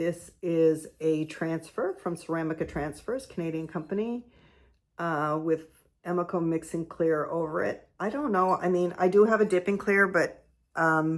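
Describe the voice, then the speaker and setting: In a very clean recording with a silent background, a woman speaks quietly at a fairly low pitch and a moderate pace, with ordinary pitch variation. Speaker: potter. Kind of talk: casual show-and-tell tutorial. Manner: quiet, talking low; casual, halting with fillers.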